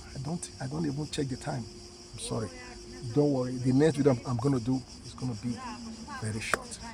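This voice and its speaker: A man speaks at a very fast pace in a medium pitch, his pitch variation ordinary, while noticeable background noise runs beneath. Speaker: motivational vlogger. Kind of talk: motivational talk. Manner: halting, repeated words.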